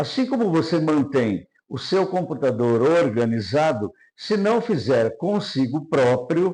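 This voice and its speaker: A man's fairly high-pitched voice with a dark, mellow tone, very slow pace and very wide pitch swings. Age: 70s. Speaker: NLP trainer. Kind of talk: lecture. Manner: formal.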